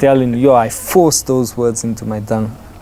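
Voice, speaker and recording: A man's medium-pitched voice at a moderate pace, fairly even in intonation, over noticeable background noise. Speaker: actor. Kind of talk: interview.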